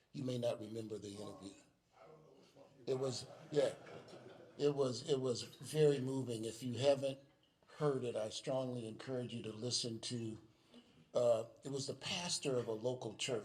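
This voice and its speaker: A somewhat breathy man with an American accent speaks at medium pitch and a moderate pace, with fairly even intonation and long, frequent pauses. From Chicago, US Midwest. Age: 70s. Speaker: speaker sharing his testimony. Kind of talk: testimony. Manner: halting.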